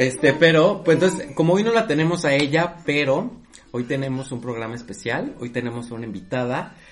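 Lively intonation from a man at a medium pitch and moderate pace, with music in the background. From Mexico. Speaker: podcast host. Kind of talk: casual chat.

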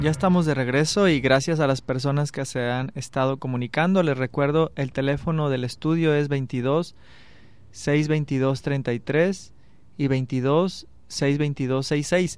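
A man's fairly high voice, very slow pace and fairly even intonation. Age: 30s. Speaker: radio host. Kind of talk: radio interview. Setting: radio studio.

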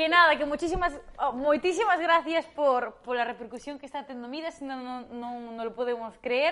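Her high-pitched voice moves at a moderate pace, and this woman shows ordinary pitch variation along with big swings in loudness. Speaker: podcast co-host. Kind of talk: casual chat.

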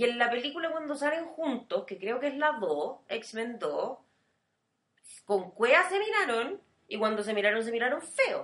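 In a Chilean accent, a woman speaks high in pitch with very wide pitch swings. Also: fairly slow pace. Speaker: podcast co-host. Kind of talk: casual chat.

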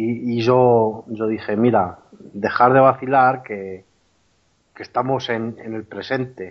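The speech is very slow, with fairly even intonation and big swings in loudness. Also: man, medium pitch for a man. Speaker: former soldier sharing a paranormal experience. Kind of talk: testimony. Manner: halting, many repetitions.

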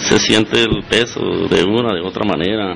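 This man talks fairly slowly. Noticeable background noise is present throughout. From Colombia, Cundinamarca (Gachetá). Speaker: business owner. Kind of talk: radio interview. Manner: halting.

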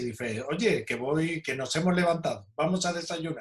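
An unremarkable speaking voice from a man, ordinary in pitch variation and fairly high in pitch. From Spain, Seville (Andalusia). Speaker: archaeologist and caver. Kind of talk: interview.

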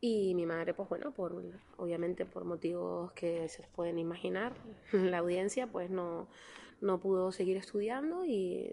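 A woman speaks with ordinary pitch variation. Her tone is dark and mellow. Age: 30s. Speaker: politician. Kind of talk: interview.

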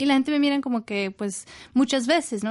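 A woman with an English accent at a fairly quick pace, with ordinary pitch variation and a dry, close sound with no echo. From northern England, Leeds. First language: English (speaking Spanish). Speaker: university professor. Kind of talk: radio interview. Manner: halting, many fillers.

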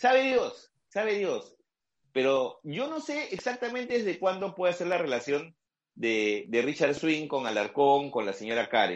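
With very wide pitch swings, a man's high voice proceeds at a fairly slow pace. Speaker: journalist. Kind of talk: casual chat.

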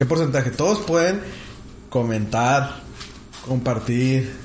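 Over noticeable background noise and audible room echo, a man at a medium pitch talks at a very slow pace with ordinary pitch variation and long, frequent pauses. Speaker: podcast co-host. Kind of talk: casual chat.

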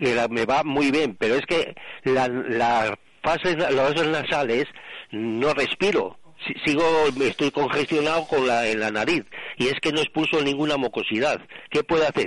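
A man at a fairly slow pace, with ordinary pitch variation, long, frequent pauses and very even loudness. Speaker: caller. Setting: phone call. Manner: halting, hesitant.

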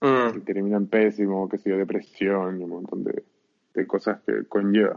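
Speaking at a moderate pace, a man keeps a fairly low pitch and a fairly even intonation. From Chile, Arica. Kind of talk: casual chat.

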